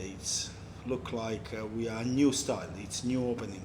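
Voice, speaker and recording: A man talks at a fairly slow pace in a medium pitch. There is audible room echo. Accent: Italian. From Italy, Amalfi Coast (Ravello). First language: Italian. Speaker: restaurant owner. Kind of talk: casual interview. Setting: in his restaurant.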